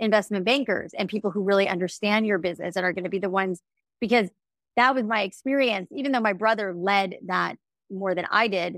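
In a very clean recording with a silent background and a dry, close sound with no echo, a woman with an unremarkable speaking voice talks at a fairly quick pace, her medium pitch showing ordinary variation. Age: 40s. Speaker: company founder and author. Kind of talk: interview.

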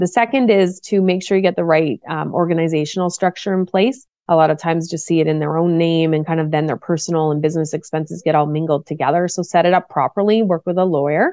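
A woman talks very fast with a Maritime Canadian accent. The sound is dry and close, with no echo. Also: fairly low pitch for a woman, ordinary pitch variation, hardly any pauses. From Nova Scotia, Canada. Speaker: business coach. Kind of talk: interview.

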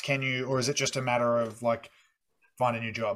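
A man has an unremarkable speaking voice. He talks at a moderate pace and a medium pitch. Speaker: podcast host. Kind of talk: casual interview chat.

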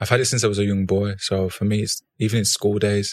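Recorded very cleanly against a silent background, a man with an ordinary speaking voice speaks at a fairly low pitch with fairly even intonation in a dry, close sound with no echo. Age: 30s. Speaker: fashion entrepreneur and former footballer. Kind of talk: casual interview.

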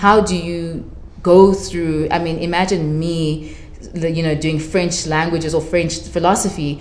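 Noticeable background noise sits behind a woman with a fairly low pitch. She speaks at a fairly slow pace with monotone, flat intonation. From South Africa, Durban (Zimbabwean-born). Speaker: writer. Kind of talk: casual chat. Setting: live event with audience.

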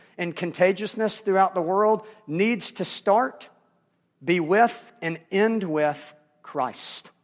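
Against a silent background in a very clean recording, a man with a Southern US accent speaks in a high pitch with lively intonation. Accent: Southern American. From US South. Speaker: pastor. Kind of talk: sermon.

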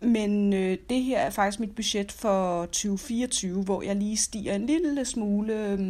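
Very slow woman's voice at medium pitch, hardly any pauses and ordinary pitch variation, on a very clean recording with a silent background. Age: 40s. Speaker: personal finance podcaster. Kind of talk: casual monologue. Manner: hesitant with many fillers.

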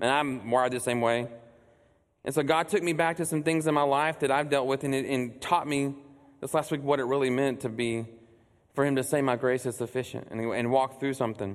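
An ordinary speaking voice from a man with an American accent, medium pitch, fairly even intonation and a fairly quick pace. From Texas, Burleson near Fort Worth. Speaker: church executive director preaching. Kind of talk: sermon. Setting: church stage with congregation.

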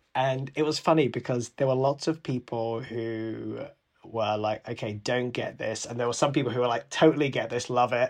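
In a London accent, a man of medium pitch talks at a moderate pace with fairly even intonation. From London, England. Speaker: podcast guest, former startup employee. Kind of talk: casual chat.

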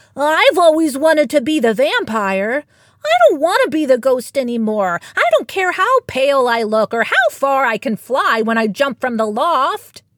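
A woman's put-on character voice, high in pitch, at a moderate pace with hardly any pauses.

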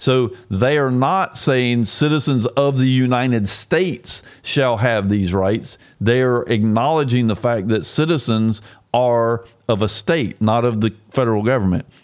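In an American accent and a plain, everyday voice, a man at medium pitch speaks at a fairly slow pace, with ordinary pitch variation and very even loudness. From Georgia, US South. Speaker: constitutional commentator. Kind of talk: solo explanatory talk with screen walkthrough. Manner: casual, with frequent repetitions and fillers.

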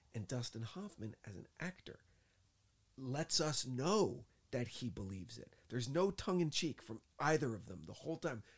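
Somewhat breathy, a man's voice moves through very wide pitch swings. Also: medium pitch for a man, moderate pace, big swings in loudness. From New Jersey. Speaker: podcast co-host, movie reviewer. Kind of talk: casual chat. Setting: studio in Hollywood. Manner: soft-spoken.

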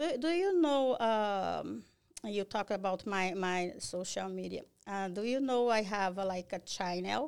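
Very clean recording, silent background: a woman with a Brazilian accent speaks at a medium pitch. Her pace is fairly slow and her intonation lively. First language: Portuguese. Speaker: cleaning business owner. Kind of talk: podcast interview. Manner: halting.

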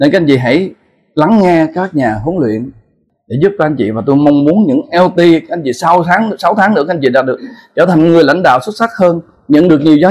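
Talking at a very fast pace, a man with a high pitch uses lively intonation. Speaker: entrepreneur. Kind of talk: motivational talk.

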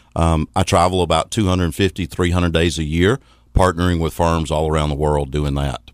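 A man with a Southern US accent and a very deep, low pitch speaks at a fairly quick pace with fairly even intonation, in a dry, close sound with no echo. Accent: Southern US (Georgia). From US South, Athens, Georgia. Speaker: financial services consultant. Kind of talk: radio interview. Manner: fast.

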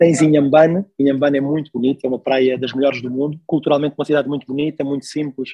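Rattling along at a very fast pace, a man speaks in a fairly high pitch with monotone, flat intonation. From Mozambique (Maputo). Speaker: logistics professional. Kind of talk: casual interview. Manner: hesitant, repeats words.

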